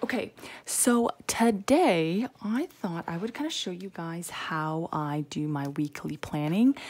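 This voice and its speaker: In a very clean recording with a silent background, a soft-spoken woman talks at a fairly low pitch with very wide pitch swings. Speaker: planner video creator. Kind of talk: casual tutorial. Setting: temporary room at home. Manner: soft-spoken, quiet; chatty, rambling with fillers.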